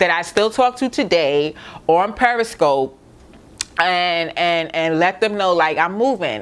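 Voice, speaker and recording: A woman with a Brooklyn accent talks at a fairly slow pace with lively intonation. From Brooklyn, New York. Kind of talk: casual talk to camera. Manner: upbeat, chatty.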